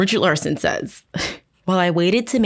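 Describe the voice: Plain reading aloud, ordinary pitch variation, quiet background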